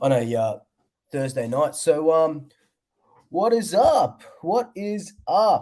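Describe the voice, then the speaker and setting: With an Australian accent, a man speaks in a dark, mellow tone at a fairly high pitch, with very wide pitch swings. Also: very clean recording, silent background. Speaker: sports fan vlogger. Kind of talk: casual livestream chat. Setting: livestream. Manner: casual, filler-heavy.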